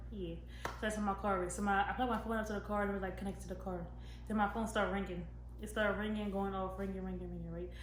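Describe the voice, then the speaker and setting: The delivery moves at a very fast pace. Audible room echo and noticeable background noise surround it. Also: woman. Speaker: YouTuber. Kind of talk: storytime vlog.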